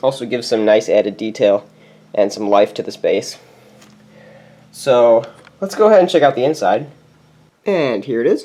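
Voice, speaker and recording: A man talks at a moderate pace, his pitch swinging very widely, with long pauses that come often. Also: medium pitch for a man. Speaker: toy building youtuber. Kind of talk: casual show-and-tell walkthrough. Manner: casual, many fillers.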